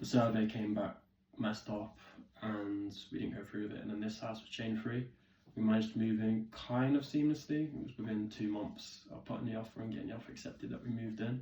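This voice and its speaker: Speaking at a fairly quick pace with an English accent, a man with a medium pitch and a dark, mellow, somewhat breathy tone keeps his intonation fairly even while his loudness swings widely. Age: 20s. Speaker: vlogger. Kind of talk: casual vlog talk.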